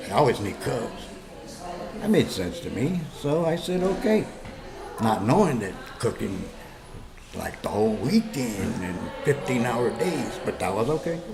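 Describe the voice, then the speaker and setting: In an American accent, the speaker goes at a fairly slow pace with long, frequent pauses and very wide pitch swings, as music plays in the background and audible room echo lingers. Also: man, medium pitch for a man. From Los Angeles, California. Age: 60s. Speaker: war veteran. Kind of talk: personal testimony. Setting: story recording booth.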